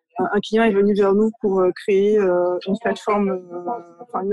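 At a very slow pace, a woman speaks at medium pitch in a dry, close recording with no echo. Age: 30s. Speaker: art director. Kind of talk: interview. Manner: halting.

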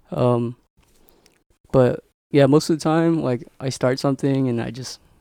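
The recording is dry and close, with no echo. A man speaks in a dark, mellow tone at a medium pitch. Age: 20s. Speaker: small coffee business owner. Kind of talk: casual chat.

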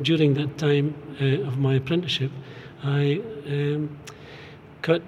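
Noticeable background noise and audible room echo accompany a man speaking at a moderate pace, his pitch fairly high and his intonation fairly even. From Fraserburgh, north-east Scotland. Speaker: artist and stone carver. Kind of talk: casual interview. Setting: gallery remembrance hall.

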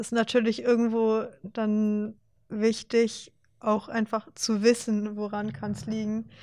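Over a silent background in a very clean recording, a woman speaks very slowly at a fairly high pitch with monotone, flat intonation. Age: 20s. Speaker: student and competitive powerlifter. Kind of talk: casual chat. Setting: studio.

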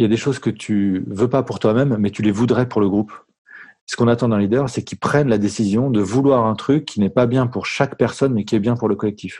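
Fairly even intonation from a man, with a dark, mellow tone and a pitch in the medium range. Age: 40s. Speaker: founder of a management training firm. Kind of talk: interview.

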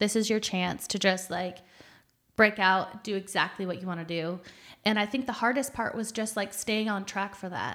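A woman with an American accent speaks at medium pitch and a moderate pace in an unremarkable speaking voice, with fairly even intonation on a very clean recording with a silent background. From rural Michigan, US Midwest. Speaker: food truck owner and chef. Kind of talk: podcast interview.

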